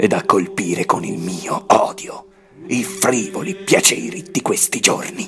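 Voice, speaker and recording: A man puts on a raspy character voice, high in pitch. He delivers it at a fairly slow pace. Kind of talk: classical stage monologue. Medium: audio drama. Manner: bitter, sardonic, scheming.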